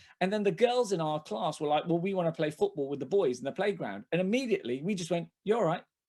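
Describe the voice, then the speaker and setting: In a London accent, a dark, mellow voice races at a very fast pace with lively intonation and hardly any pauses. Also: man. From London (Hackney), England. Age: 40s. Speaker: comedian. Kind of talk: casual chat. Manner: halting.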